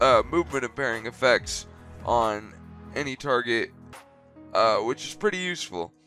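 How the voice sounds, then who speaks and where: Music can be heard in the background. Against it, a man speaks at a moderate pace. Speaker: gaming YouTuber. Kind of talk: game guide commentary. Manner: casual.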